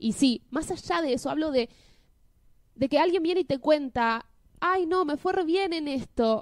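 A woman with a Buenos Aires accent speaks at a high pitch with very wide pitch swings, in a dry, close sound with no echo. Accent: Rioplatense Spanish (Buenos Aires). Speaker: podcast co-host. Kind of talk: casual chat.

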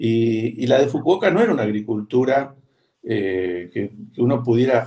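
A man's somewhat breathy, dark, mellow voice with lively intonation at a fairly slow pace. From Argentina, Buenos Aires. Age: 60s. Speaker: veterinarian and agroecology farmer. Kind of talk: interview conversation.

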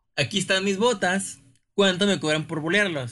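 This man has a Mexican accent and a bright, sharp tone. He talks at a moderate pace against a quiet background. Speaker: podcast co-host. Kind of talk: casual chat.

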